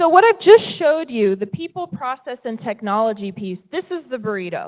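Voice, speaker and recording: With an American accent, a high-pitched woman speaks at a moderate pace, her pitch swinging very widely. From US West Coast, California. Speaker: tech company presenter. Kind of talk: presentation talk. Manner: conversational, some repetitions.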